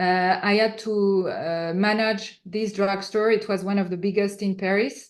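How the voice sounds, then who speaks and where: A woman is speaking at a medium pitch. She has a French accent. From France. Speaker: entrepreneur. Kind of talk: interview answer. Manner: hesitant, many fillers.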